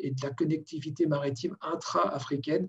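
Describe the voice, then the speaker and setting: A somewhat breathy man with a fairly high pitch, fairly even intonation and a moderate pace. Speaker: port and logistics expert, webinar panelist. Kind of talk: webinar panel presentation. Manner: halting, many hesitations.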